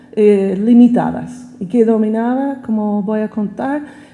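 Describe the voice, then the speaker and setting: A woman with an American accent amid noticeable background noise and audible room echo. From United States. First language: English (speaking Spanish). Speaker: professor. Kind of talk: lecture. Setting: auditorium.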